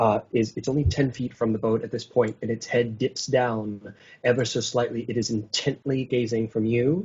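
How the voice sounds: It is a natural reading voice. The intonation stays fairly even.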